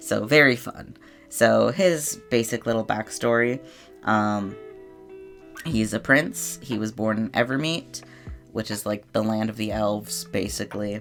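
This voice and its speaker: The speaker talks at a fairly slow pace while music plays in the background. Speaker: digital artist, YouTuber. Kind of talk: casual voiceover explaining characters. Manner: casual, hesitant with many fillers.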